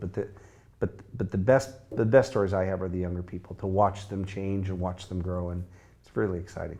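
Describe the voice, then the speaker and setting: This man has an American accent. His voice sits fairly low, with a dark, mellow tone. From US Midwest, Chicago. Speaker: sales coach and consultant. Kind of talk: interview conversation.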